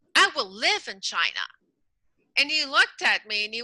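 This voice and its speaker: A woman's raised, projected voice at a moderate pace, bright and sharp in tone, with very wide pitch swings and a dry, close sound free of echo. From French Canada. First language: French. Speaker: emotional intelligence coach. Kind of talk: interview.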